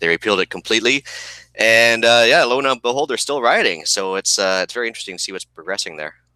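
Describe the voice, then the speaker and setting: With a Canadian accent, a man of medium pitch talks at a very fast pace in a bright, sharp tone with ordinary pitch variation, the sound dry and close with no echo. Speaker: podcast co-host. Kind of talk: casual chat.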